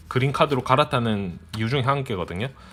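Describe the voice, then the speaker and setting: Noticeable background noise underlies a man talking at a fairly quick pace. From Busan, South Korea. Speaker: product reviewer, YouTuber. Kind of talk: product review, unboxing. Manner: casual, filler-heavy.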